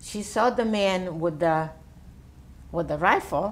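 The speaker has an Italian accent and lively intonation. The pace is fairly slow. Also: woman. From Italy. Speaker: World War II orphanage survivor; interviewee. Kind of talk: oral history interview answer. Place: home room. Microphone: lapel.

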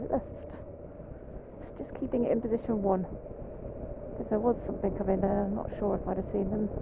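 Noticeable background noise sits behind a woman with a fairly high pitch. She talks at a moderate pace, and the sound is dry with no echo. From England. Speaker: motorcycle instructor. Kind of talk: live riding commentary. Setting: outdoors. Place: motorbike. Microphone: helmet.

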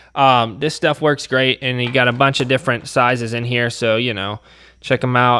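A man at a fairly quick pace, with light background noise. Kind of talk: tutorial. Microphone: phone near.

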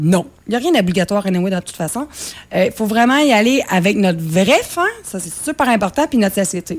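The voice moves at a fairly quick pace with very wide pitch swings. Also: woman. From Quebec. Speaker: cookbook author and nutrition coach; nutrition coach. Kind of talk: interview. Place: studio.

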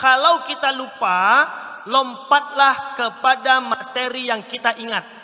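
A man with an East Javanese accent projects a raised voice at an extremely high pitch, animated in tone. His pitch varies in an ordinary way over a quiet background. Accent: Indonesian with Malang-style Javanese. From Pekanbaru, Riau (Sumatra); Riau, Indonesia. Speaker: Islamic preacher and public speaking coach; Islamic preacher, public speaking coach. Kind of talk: training workshop lecture. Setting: live audience, indoor venue. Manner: animated, interactive with audience. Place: hall. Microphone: handheld.

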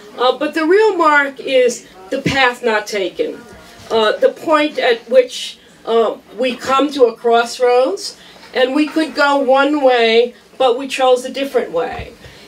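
With music in the background, a woman speaks very slowly at a high pitch, her pitch varying in an ordinary way. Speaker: law professor. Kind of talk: tribute speech. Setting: event hall with audience. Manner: animated, humorous. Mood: warm, commemorative. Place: hall. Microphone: handheld.

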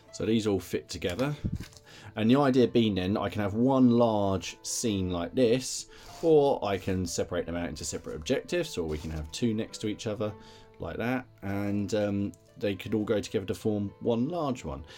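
A man's fairly low voice at a moderate pace, faint music in the background. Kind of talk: casual hobby tutorial chat. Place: home room. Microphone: phone near.

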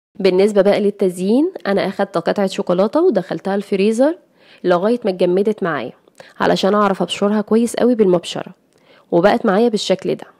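A woman with a dark, mellow tone speaks at medium pitch and a fairly quick pace, with ordinary pitch variation and a dry, close sound with no echo. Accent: Egyptian. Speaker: cooking youtuber. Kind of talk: tutorial.

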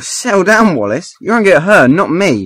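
Using a put-on character voice, the speaker goes at a moderate pace with big pitch swings, a fairly bright tone and a slightly husky edge. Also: man, high pitch for a man.

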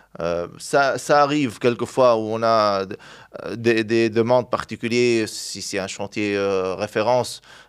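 Over a quiet background, a man speaks at a very slow pace with fairly even intonation. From Tunisia (Sfax); Tunisia. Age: 30s. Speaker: glass products distributor, entrepreneur; interview guest. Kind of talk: interview. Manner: halting, many hesitations. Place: studio. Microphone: studio mic.

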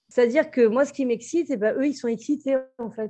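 Against a quiet background, a dark, mellow voice moves at a fairly quick pace with ordinary pitch variation. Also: woman. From Brittany, France. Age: 40s. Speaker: restaurant entrepreneur and expat. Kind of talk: interview. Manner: halting, many fillers.

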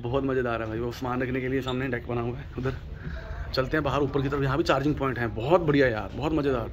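A man talks at a fairly quick pace with fairly even intonation. Light background noise sits behind him. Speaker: travel vlogger. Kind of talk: casual vlog chat. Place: boat. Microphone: phone near.

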